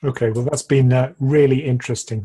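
Over a quiet background, a man's somewhat breathy voice carries a dark, mellow tone and monotone, flat intonation. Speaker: finance YouTuber. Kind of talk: interview. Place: home room. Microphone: webcam.

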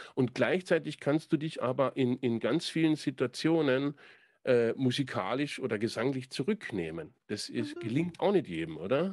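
A man speaks at a moderate pace with vocal fry and very wide pitch swings. The sound is dry with no echo, and the background is quiet. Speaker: podcast host and songwriter; podcast host. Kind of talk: casual chat. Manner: hesitant, many fillers. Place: home room. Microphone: studio mic.

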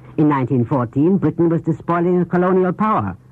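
Lively intonation and a fairly quick pace from a man. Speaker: foreign correspondent and news commentator. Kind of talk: 1930s radio news commentary. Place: studio. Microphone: old recording.

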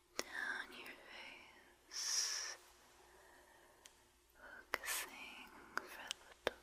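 Soft-spoken whispering. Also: woman, long, frequent pauses. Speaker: relaxation video host. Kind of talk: soft guided relaxation talk. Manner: soft, slow hypnotic near-whisper. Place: studio. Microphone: studio mic.

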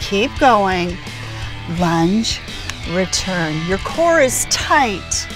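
A woman's dry voice, free of echo, sits over clear background music. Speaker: fitness trainer. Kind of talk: tutorial. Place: open country.

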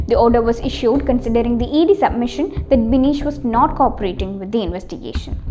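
A woman talks at a very fast pace. Music plays in the background. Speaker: news presenter. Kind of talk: news bulletin reading. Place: office.

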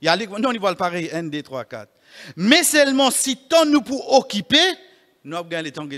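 With a high pitch and a bright, sharp tone, a man speaks at a moderate pace, his pitch swinging very widely and his loudness changing a lot over a quiet background. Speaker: imam giving Friday sermon. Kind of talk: Friday sermon (khutbah) mixing French, Creole and Arabic. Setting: mosque. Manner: earnest, exhortative, preacherly; rhetorical questions addressing the congregation. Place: church. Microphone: podium.

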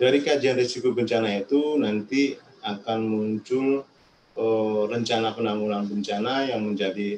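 A man speaks at medium pitch and a fairly slow pace, with fairly even intonation. Noticeable background noise runs under his voice. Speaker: disaster management official. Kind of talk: webinar presentation. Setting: video call.

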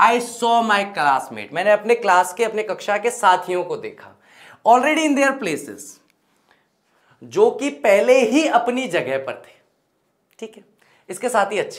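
With big swings in loudness, a high-voiced man speaks at a fairly slow pace, leaving long, frequent pauses over a quiet background. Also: lively intonation. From Rajasthan, Ajmer district; Rajasthan. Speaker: English teacher. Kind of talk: lecture. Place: classroom.

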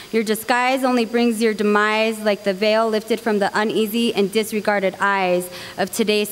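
A woman at a moderate pace over music in the background. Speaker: open mic poet. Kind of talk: spoken word poetry performance. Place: hall. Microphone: handheld.

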